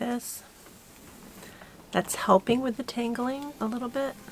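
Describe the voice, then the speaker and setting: A woman's fairly high voice at a moderate pace, with noticeable background noise. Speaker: homesteading YouTuber. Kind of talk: crafting tutorial.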